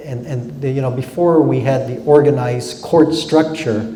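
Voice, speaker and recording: A man at a fairly slow pace, amid audible room echo and noticeable background noise. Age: 60s. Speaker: judge. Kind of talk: lecture Q&A. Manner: halting, many fillers.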